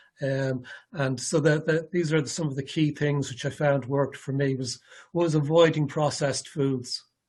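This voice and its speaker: A man with an Irish accent speaks fairly slowly in a somewhat breathy, fairly high-pitched voice with fairly even intonation. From Ireland. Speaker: ALS patient presenter. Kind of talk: presentation. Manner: halting, many fillers and repetitions.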